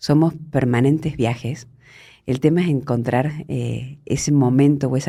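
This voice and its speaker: The tone is dark and mellow. A woman speaks with ordinary pitch variation. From Argentina (Córdoba province). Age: 50s. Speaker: journalist. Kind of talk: interview conversation.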